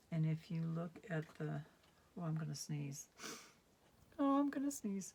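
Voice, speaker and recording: A woman's voice sits fairly low in pitch and sounds somewhat breathy. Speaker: craft demonstrator. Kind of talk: tutorial. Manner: sometimes gets very quiet; casual, hesitant with fillers.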